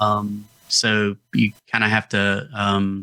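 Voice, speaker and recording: A bright, sharp tone with a Southern Appalachian accent. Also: man. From US South, North Georgia Appalachians. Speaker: health podcast co-host. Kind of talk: casual chat.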